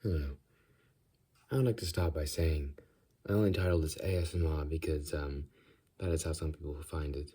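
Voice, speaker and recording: A man speaks at a very deep, low pitch with a dark, mellow tone that is somewhat breathy, and his pitch varies in an ordinary way. His pace is fairly quick, broken by long, frequent pauses, on a very clean recording with a silent background. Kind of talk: casual talk to camera, rambling comedic monologue. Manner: chatty, self-deprecating, rambling.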